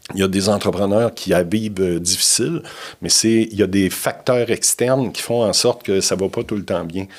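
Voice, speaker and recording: Here is a man with a plain, everyday voice and a fairly low pitch. He keeps a moderate pace with ordinary pitch variation. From Quebec, Bas-Saint-Laurent (Trois-Pistoles). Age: 60s. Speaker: business consultant. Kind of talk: podcast interview.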